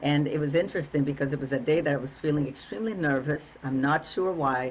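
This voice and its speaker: Over noticeable background noise, a woman talks at a very fast pace in a very deep, low pitch with ordinary pitch variation. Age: 60s. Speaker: relationship coach. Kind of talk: interview conversation. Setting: podcast.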